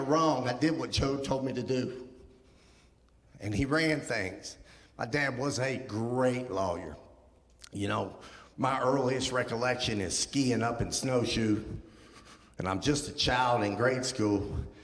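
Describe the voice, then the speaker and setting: Amid noticeable background noise and audible room echo, a man with an American accent speaks at a fairly slow pace with long, frequent pauses. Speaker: guest speaker. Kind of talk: testimony. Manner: walks while talking; casual, with filler ums.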